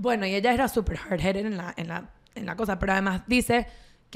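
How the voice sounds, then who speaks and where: A woman talks with a Venezuelan accent. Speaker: podcast co-host. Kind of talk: casual chat. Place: home room. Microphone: studio mic.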